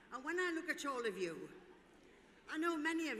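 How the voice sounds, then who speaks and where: Audible room echo surrounds a woman speaking in a bright, sharp tone. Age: 80s+. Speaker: former dancer and event speaker. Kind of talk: speech to audience. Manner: animated.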